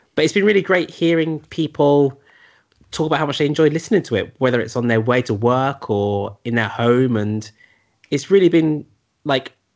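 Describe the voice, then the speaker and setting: A man with an unremarkable speaking voice, fairly high in pitch, talks at a moderate pace with lively intonation. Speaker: podcast host. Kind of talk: casual chat.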